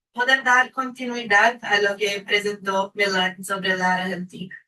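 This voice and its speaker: A woman speaks with a Brazilian accent at a medium pitch. Her tone is bright and sharp, and her intonation stays fairly even. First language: Portuguese (speaking Spanish). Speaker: panel speaker, researcher. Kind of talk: academic presentation.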